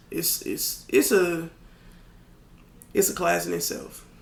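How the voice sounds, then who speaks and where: The speaker is a man talking at a fairly slow pace. Audible room echo surrounds his voice. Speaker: rapper. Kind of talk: casual chat.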